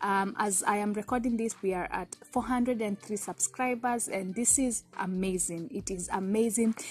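A somewhat breathy woman's voice, fairly slow, with fairly even intonation. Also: dry sound with no echo. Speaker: vlogger. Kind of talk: casual vlog chat. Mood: cheerful, grateful. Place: garden. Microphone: phone near.

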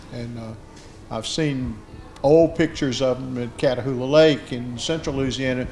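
With a Southern US accent, a man talks at a medium pitch with ordinary pitch variation over faint background music. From Mississippi Delta. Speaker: anthropologist, moderator; moderator. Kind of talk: panel discussion. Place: meeting room.

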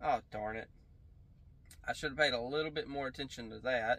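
A man's bright, sharp tone with fairly even intonation. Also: dry sound with no echo. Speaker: reaction video host. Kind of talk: casual reaction commentary. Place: home room.

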